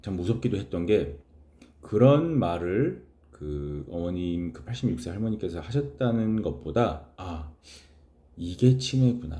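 A man speaks at a very slow pace with a very deep, low pitch and a dark, mellow, somewhat breathy tone. His pitch swings very widely and his loudness shifts by large amounts. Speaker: chaplain. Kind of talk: casual talk to camera.

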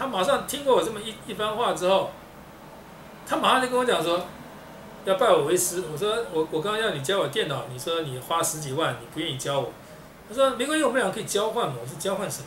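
Talking very fast with a high pitch and very wide pitch swings, a man comes through audible room echo and light background noise. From Taiwan. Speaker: video blogger and self-improvement speaker; video blogger, speaker. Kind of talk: monologue talk to camera. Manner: halting, repetitive. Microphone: webcam.

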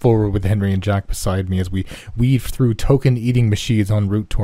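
The pitch moves in an ordinary way through this unforced reading voice.

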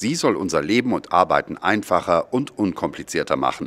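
A man speaks at a moderate pace in a dry, close recording with no echo, very clean over a silent background. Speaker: video narrator. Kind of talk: scripted narration. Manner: formal.

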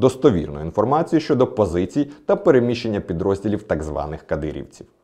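A man talks at a very fast pace in a dark, mellow tone with very wide pitch swings. The background is quiet. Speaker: security service spokesman. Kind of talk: official video statement. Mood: serious, formal.

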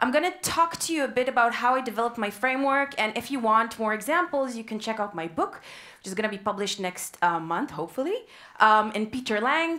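A woman speaks at a very fast pace with very wide pitch swings over a quiet background. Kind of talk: lecture. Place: hall. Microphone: headset.

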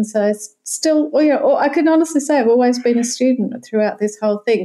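The speaker talks at a fairly quick pace with an Australian accent and ordinary pitch variation. Noticeable background noise runs under the voice. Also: woman. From Sydney, Australia. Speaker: yoga association president and yoga teacher. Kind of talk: interview conversation.

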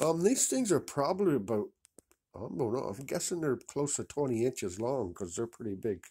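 Vocal fry runs through a dark, mellow tone with very wide pitch swings at a moderate pace. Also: man. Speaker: vlogger showing a vintage game find. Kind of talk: casual video show-and-tell. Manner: casual, rambling. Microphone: phone near.

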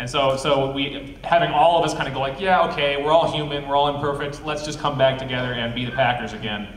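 Someone with an American accent talks at a very fast pace with hardly any pauses and fairly even intonation. Light background noise and audible room echo are present. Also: man, fairly high pitch for a man. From Wisconsin. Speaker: filmmaker and panel moderator; panel moderator. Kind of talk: panel discussion. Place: hall. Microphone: camera far.

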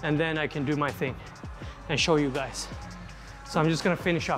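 A man's voice over clear music in the background. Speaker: fitness vlogger. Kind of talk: casual vlog chat. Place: gym. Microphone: lapel.

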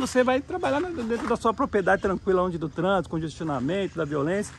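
Speaking very fast with lively intonation, a man with a high pitch comes through on a dry recording with no echo and light background noise. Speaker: real estate agent. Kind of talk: property tour video. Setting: outdoors walking around property. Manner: enthusiastic salesy. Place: open country. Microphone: phone near.

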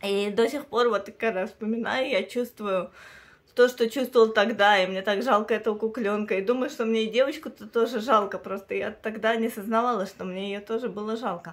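This woman's pitch is fairly high. She talks at a moderate pace with fairly even intonation. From Russia. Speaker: video blogger; doll collector vlogger. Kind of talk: personal storytelling vlog, bilingual. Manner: halting. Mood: personal, emotional storytelling. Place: home room. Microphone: phone near.

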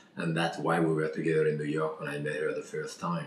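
A man is speaking in a room with audible echo. Light background noise can be heard. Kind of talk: interview answer. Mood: warm, fond storytelling. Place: kitchen. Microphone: camera far.

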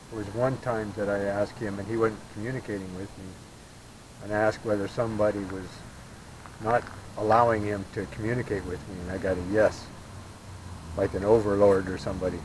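Amid noticeable background noise yet with a dry sound and no echo, a man with a fairly low pitch speaks at a fairly quick pace in a monotone, flat intonation. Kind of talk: questions to spirits, casual explanation. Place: open country. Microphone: camera far.

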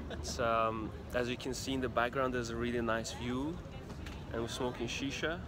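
A man talks at a moderate pace with ordinary pitch variation. The sound is dry with no echo, though background noise is noticeable. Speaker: vlogger. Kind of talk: casual vlog chat. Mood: relaxed, cheerful. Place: cafe. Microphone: phone near.

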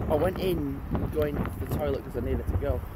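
A man's voice sounds dry, with no echo, while loud noise fills the background. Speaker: vlogger. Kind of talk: casual vlog chat. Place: street. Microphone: phone near.

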